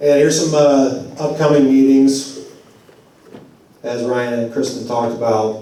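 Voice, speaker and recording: A man at a medium pitch with fairly even intonation and long, frequent pauses, amid audible room echo and noticeable background noise. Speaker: community organizer. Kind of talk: public forum talk. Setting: church community forum. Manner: halting, repeats words.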